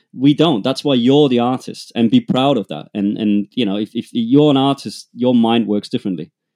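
A man with a German accent talks with hardly any pauses and ordinary pitch variation. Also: medium pitch for a man, moderate pace. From Germany, rural Bavaria. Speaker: music producer and manager. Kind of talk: casual interview.

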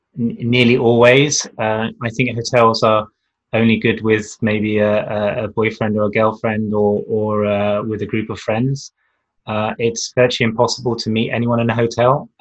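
A man with a New Zealand accent at a medium pitch, flat monotone intonation and a moderate pace, over a quiet background. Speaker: magazine publisher and lecturer. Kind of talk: casual interview chat. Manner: hesitant, many fillers.

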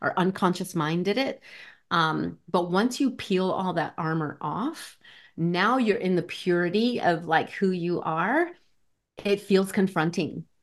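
Speaking at a fairly slow pace, a woman with an ordinary speaking voice holds a medium pitch with ordinary pitch variation. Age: 50s. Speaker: life coach. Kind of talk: interview.

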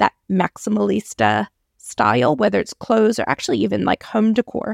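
A woman with an American accent at a moderate pace, in a dry, close sound with no echo, on a very clean recording with a silent background. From US. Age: 40s. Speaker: podcast host. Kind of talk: casual solo podcast talk.

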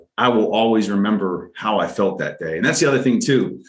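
An unremarkable speaking voice: a man at a fairly low pitch, moderate pace, and ordinary pitch variation. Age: 40s. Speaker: podcast co-host. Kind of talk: casual chat.

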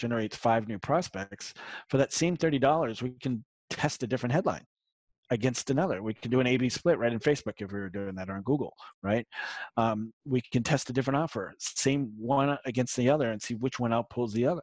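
Speaking very fast at a medium pitch with ordinary pitch variation, a man is recorded with a dry, close sound and no echo. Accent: slight Boston. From Massachusetts, south of Boston. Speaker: marketing consultant. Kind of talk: interview. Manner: casual, hesitant with fillers.

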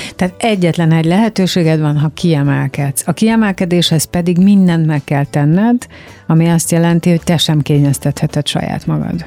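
A woman's fairly low-pitched voice, dark and mellow in tone, in a dry, close recording with no echo. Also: ordinary pitch variation, moderate pace, very even loudness. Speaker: radio host. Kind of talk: interview. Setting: studio.

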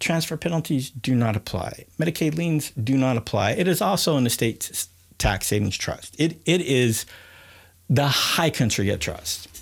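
On a very clean recording with a silent background, a man with a fairly high pitch talks at a moderate pace, somewhat breathy, with lively intonation and very even loudness. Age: 50s. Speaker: asset protection attorney and podcast host. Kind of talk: solo podcast monologue. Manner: halting, with frequent fillers and restarts.

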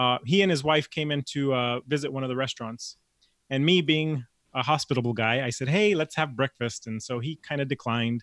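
A man with an American accent talks at a fairly quick pace. His pitch is medium, with ordinary pitch variation. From Los Angeles. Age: 40s. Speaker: chef and cooking coach. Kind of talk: casual interview. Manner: halting with frequent repeated words.

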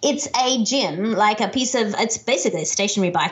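With an Australian accent, a woman talks at a moderate pace in a fairly high pitch and lively intonation. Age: 40s. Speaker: keynote speaker and author. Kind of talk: podcast interview. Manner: animated.

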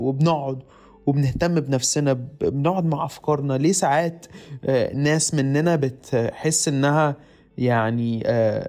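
Very slowly and at very even loudness, a man with an Egyptian accent speaks in a dark, mellow tone at a fairly high pitch, his intonation fairly even. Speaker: podcast host. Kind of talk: solo monologue. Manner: halting, many repeated syllables.

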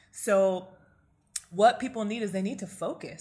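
A woman talks at a moderate pace. Her voice is somewhat breathy, with fairly even intonation. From US, Nigerian immigrant family. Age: 30s. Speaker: clinical psychologist and coach. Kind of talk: interview conversation.

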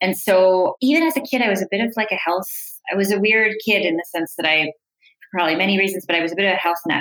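In a Canadian accent, a woman talks in a normal speaking voice at a medium pitch, her intonation lively. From Canada, Toronto suburbs. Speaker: biochemist and startup founder. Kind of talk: interview.

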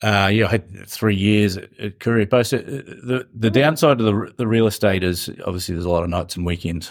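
Over a silent background on a very clean recording, a man with a fairly low pitch speaks fairly quickly with ordinary pitch variation. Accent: New Zealand. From New Zealand, South Island. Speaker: business founder. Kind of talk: interview.

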